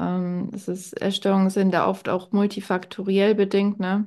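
A woman speaks in a medium pitch. The background is quiet. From Bavaria, near Munich. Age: 20s. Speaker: health manager and fitness coach. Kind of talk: casual interview chat.

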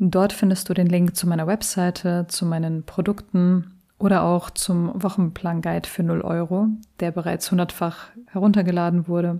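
On a very clean recording with a silent background, a woman speaks at a moderate pace in a fairly low voice with a dark, mellow tone and monotone, flat intonation. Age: 30s. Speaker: study coach and podcast host. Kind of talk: solo podcast introduction.

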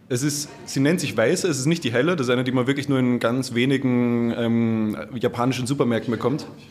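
Noticeable background noise sits behind a man who talks with hardly any pauses and fairly even intonation. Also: medium pitch for a man, fairly quick pace. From Vienna, Austria. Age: 20s. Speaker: head chef. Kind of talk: casual chat. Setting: restaurant.

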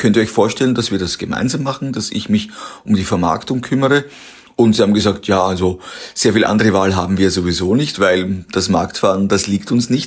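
An ordinary speaking voice from a man, fairly low in pitch, at a fairly quick pace with ordinary pitch variation. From Austria, Waldviertel. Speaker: company founder. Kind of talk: interview.

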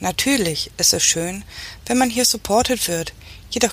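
A woman speaks at a moderate pace with lively intonation. Background noise is noticeable. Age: 40s. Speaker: engineering manager. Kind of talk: scripted monologue. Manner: formal.

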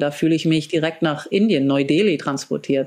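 This woman has an ordinary speaking voice, fairly low in pitch, with ordinary pitch variation. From grew up abroad in several countries, German diplomat family. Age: 40s. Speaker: biohacker and wellness entrepreneur. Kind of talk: interview. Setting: video call.

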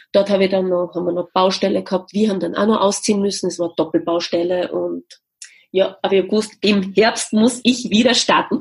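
A woman speaks at a medium pitch with a somewhat breathy voice. Her intonation stays fairly even, and her pace is fairly quick. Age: 40s. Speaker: music educator and business founder. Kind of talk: interview.

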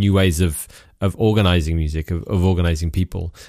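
A man's very deep, low voice, dark and mellow, at a very fast pace with fairly even intonation. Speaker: festival director and radio maker. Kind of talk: interview conversation. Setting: remote call.

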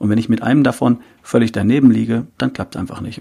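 Using a dark, mellow tone with vocal fry, a man talks at a very fast pace, his medium-pitched voice keeping fairly even intonation. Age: 50s. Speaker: health coach and podcaster. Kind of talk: interview.

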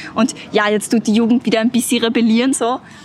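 Over noticeable background noise, a woman speaks fairly quickly in a fairly high voice. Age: 20s. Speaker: climate activist. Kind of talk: interview.

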